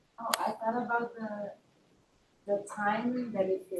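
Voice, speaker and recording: A woman talks at a fairly slow pace. Music plays in the background. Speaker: class participant. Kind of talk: group discussion. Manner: loud.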